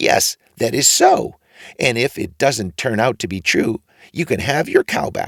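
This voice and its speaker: Using a put-on character voice at medium pitch, a man talks at a fairly slow pace with a dry, close sound and no echo. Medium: read story.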